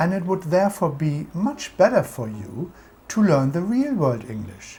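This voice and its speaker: A man's high-pitched voice with a dark, mellow tone, very wide pitch swings and a German accent. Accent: German accent, permanent. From Germany. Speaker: language school owner and teacher. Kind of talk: scripted educational presentation.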